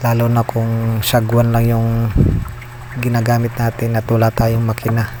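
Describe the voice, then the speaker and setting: Soft-spoken and very even in loudness, a man talks in a flat monotone at medium pitch and a moderate pace. Background noise is noticeable. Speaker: vlogger from fishing family. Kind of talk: vlog voice-over. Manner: soft-spoken, lowered voice.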